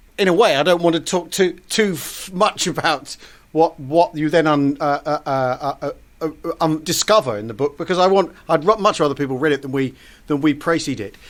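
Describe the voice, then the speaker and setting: A man with a British accent speaks at a moderate pace. His pitch is fairly high, with ordinary pitch variation. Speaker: podcast host. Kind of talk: podcast interview. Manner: halting, many false starts.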